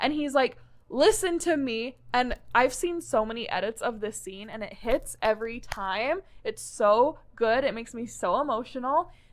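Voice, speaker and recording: A woman speaks at a moderate pace in a high, animated voice with lively intonation and big swings in loudness. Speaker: podcast co-host. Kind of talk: casual chat. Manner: animated, loud.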